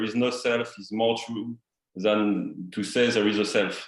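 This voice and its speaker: A medium-pitched man with a strong French accent. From France. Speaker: participant in a spiritual meeting. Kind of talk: question in an online group discussion. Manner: halting, many repetitions and fillers.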